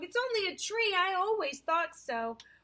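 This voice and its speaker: Putting on a character voice, a woman squeaks at an extremely high pitch and a moderate pace. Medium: read story.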